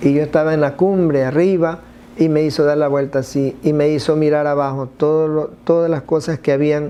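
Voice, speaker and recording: The man's pitch is fairly high. He keeps a moderate pace with monotone, flat intonation. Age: 60s. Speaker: church member giving testimony. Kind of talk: testimony. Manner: halting.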